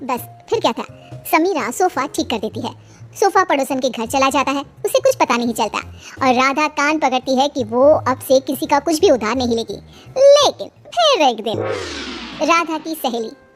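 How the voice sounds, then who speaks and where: A cartoonish character voice that sounds female, high in pitch and at a moderate pace, plays over clear music in the background. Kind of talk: kids cartoon narration. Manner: chatty, animated.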